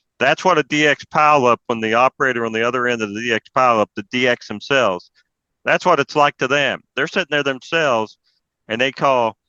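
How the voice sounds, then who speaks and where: In an Appalachian accent, the speaker talks at a fairly quick pace with a bright, sharp tone and ordinary pitch variation, recorded dry and close with no echo over a quiet background. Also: man, medium pitch for a man. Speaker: amateur radio presenter. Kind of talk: presentation talk. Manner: casual, conversational.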